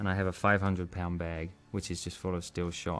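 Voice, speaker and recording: Speaking at a very fast pace, a man with a very deep, low pitch delivers his words in a monotone, flat intonation with an English accent. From England. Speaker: martial arts film actor. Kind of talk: interview. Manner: casual, conversational with fillers.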